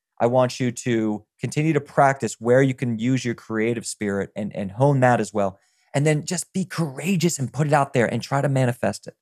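A man with an American accent talks at a fairly quick pace in a medium pitch, his tone animated and his pitch variation ordinary. The recording is very clean with a silent background, and the sound is dry and close with no echo. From US South, rural Virginia. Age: 30s. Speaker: nutritionist and health business founder. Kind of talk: podcast interview, personal story. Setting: podcast interview.

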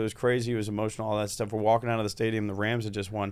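Speaking very fast with an American accent, a man has a fairly low pitch and fairly even intonation. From Cincinnati, Ohio. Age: 30s. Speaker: comedian. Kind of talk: casual chat. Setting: studio.

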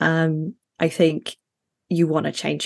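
A woman with a British accent speaks at a fairly low pitch. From Middle East and Sheffield, UK. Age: 30s. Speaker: fantasy author. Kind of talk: casual interview.

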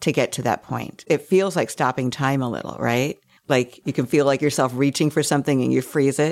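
A woman speaks at a fairly quick pace with vocal fry. Her pitch is very deep and low. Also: ordinary pitch variation. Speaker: podcast host and memoir author. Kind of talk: panel discussion.

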